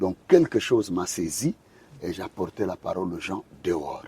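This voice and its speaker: A man is speaking. His pace is very slow. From Angola. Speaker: pastor and gospel singer. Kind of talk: interview conversation. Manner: hesitant, many fillers.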